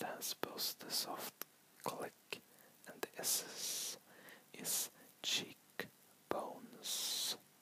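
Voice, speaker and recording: Whispering in a relaxed tone, the speaker moves at a very slow pace. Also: man. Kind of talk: ASMR whispered ramble to camera. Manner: whispered, rambling, relaxed.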